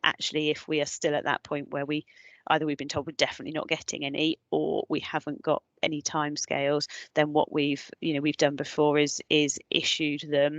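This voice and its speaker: A woman talks at a fairly quick pace in a very deep, low pitch with monotone, flat intonation, sounding dry and close with no echo against a quiet background. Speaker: designated clinical officer in health. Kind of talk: webinar presentation and Q&A. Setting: online webinar. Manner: fast; hesitant, many fillers and restarts.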